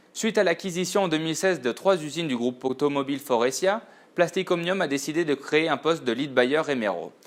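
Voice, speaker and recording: A man at fairly high pitch, fairly quick in pace, with ordinary pitch variation. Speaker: purchasing buyer. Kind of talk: scripted narration. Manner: formal.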